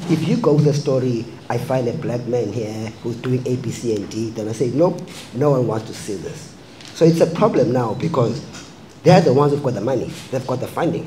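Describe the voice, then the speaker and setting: Room echo can be heard, along with noticeable background noise. The pitch varies in an ordinary way. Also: man. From South Africa. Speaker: filmmaker. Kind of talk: panel discussion.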